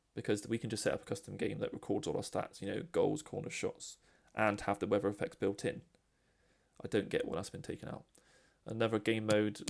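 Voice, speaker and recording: A man with a British accent at a fairly quick pace, broken by long, frequent pauses. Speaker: gaming podcaster. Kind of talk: opinion monologue over gameplay. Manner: fast. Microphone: poor sound quality, first recording.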